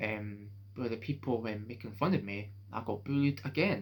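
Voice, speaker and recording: At a moderate pace, a man speaks in a fairly low, somewhat breathy voice with ordinary pitch variation. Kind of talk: casual talk to camera. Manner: hesitant, halting.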